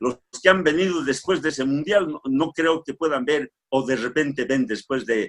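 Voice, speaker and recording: An ordinary speaking voice moves at a moderate pace, the sound dry and close with no echo. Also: man. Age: 60s. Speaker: panelist in discussion show. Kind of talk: casual discussion.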